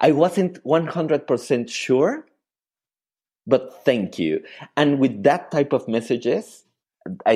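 A man speaks with vocal fry. He leaves long, frequent pauses. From Mexico City. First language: Spanish. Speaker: painter. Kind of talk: interview conversation. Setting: remote call. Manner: halting, repeats words.

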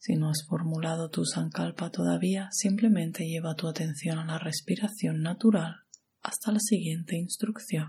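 The tone is gentle and calm, with vocal fry. It also sounds dark and mellow. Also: woman, fairly low pitch for a woman. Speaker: yoga nidra guide. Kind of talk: guided meditation. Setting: audio recording for lying down and relaxing. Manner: slow, calm, soothing, with long pauses; soft-spoken, gentle and hushed.

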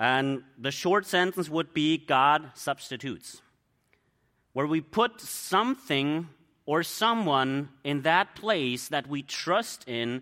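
A very slow speaker with a German accent uses lively intonation in a bright, sharp tone, on a very clean recording with a silent background. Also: man. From Germany. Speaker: missionary preacher. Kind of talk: sermon.

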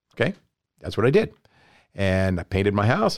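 A man talks at a very fast pace with a fairly low pitch. The sound is dry and close with no echo. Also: very clean recording, silent background. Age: 60s. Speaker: pressure washing business owner. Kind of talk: interview. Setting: studio.

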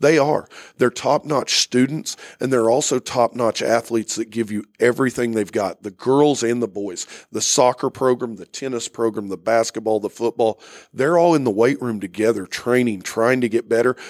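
Someone with an American accent speaks at a moderate pace with ordinary pitch variation, the recording very clean with a silent background and a dry, close sound with no echo. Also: man, medium pitch for a man. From Oklahoma, Owasso. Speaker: high school basketball coach. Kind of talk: interview. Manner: frequent hesitations.

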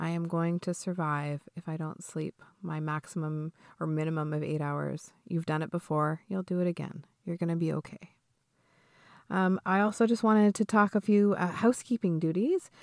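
A normal speaking voice at a moderate pace. The sound is dry and close with no echo, on a very clean recording with a silent background. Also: woman. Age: 40s. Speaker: mindfulness teacher. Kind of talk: podcast talk with guided breathing instruction.

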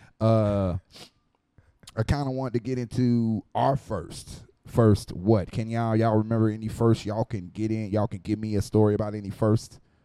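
At a moderate pace, a man with an unremarkable speaking voice talks in a fairly low register with fairly even intonation. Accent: American. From Florida, Miami area. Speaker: podcast host. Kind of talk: casual chat. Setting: bar.

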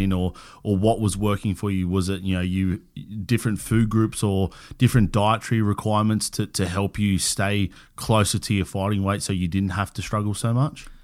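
A man with an Australian accent speaks fairly quickly in a fairly low, monotone voice with flat intonation. The recording is very clean, with a silent background. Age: 30s. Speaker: podcast host. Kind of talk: casual interview chat. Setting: in-person studio recording.

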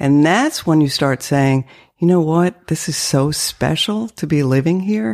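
A woman's very deep, low voice with lively intonation at a fairly slow pace, on a very clean recording with a silent background. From northern Maine, French-Canadian family. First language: French (Canadian). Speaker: real estate agent. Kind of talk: casual interview.

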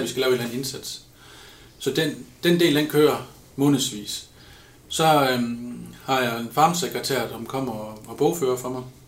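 Big swings in loudness, with audible room echo. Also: man, medium pitch for a man, fairly even intonation, moderate pace. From Denmark, Ribe area (southwest Jutland). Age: 30s. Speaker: pig farmer. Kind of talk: interview.

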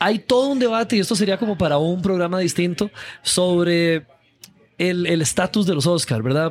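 This man speaks at a moderate pace in a high voice. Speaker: film podcast host. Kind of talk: interview; scripted outro. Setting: café.

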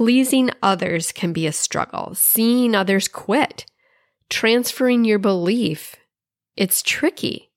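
A woman speaks very slowly in a fairly high voice with a warm, upbeat tone and lively intonation, recorded very cleanly and dry and close with no echo against a silent background. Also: very even loudness. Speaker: podcast host and success strategist. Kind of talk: pep talk, motivational monologue. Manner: warm, encouraging, upbeat; rhythmic, repetitive 'You love...' list delivery.

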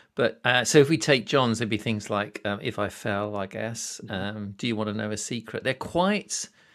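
Moderate speech in a British accent with ordinary pitch variation and hardly any pauses, on a very clean recording with a silent background. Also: man, fairly low pitch for a man. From Britain. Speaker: podcast host. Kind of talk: casual interview.

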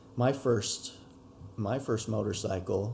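Speaking at a fairly low pitch with an American accent, a man has a dark, mellow tone and vocal fry. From Utah, Utah Valley. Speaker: dirt bike rider. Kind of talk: interview. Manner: calm, subdued. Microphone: poorer audio quality than solo studio recordings.

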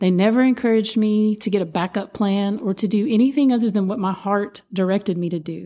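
The voice has a dark, mellow tone and an Appalachian accent, moving at a fairly quick pace with ordinary pitch variation. It runs with hardly any pauses over a very clean, silent background. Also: woman, medium pitch for a woman. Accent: Appalachian Kentucky. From Eastern Kentucky, Appalachia. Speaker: podcast host, musician and dancer. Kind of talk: solo podcast monologue. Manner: animated.

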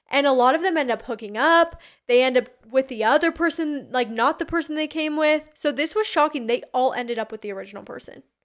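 A woman's high-pitched voice at a very fast pace, with lively intonation. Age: 20s. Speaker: reality tv personality. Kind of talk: casual chat.

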